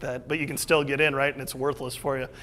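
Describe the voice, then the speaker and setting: A man with a Midwestern US accent speaks in a monotone, flat intonation at a fairly high pitch. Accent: US Midwest. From Iowa, Des Moines area. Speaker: entrepreneur. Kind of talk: talk with audience Q&A. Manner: fast.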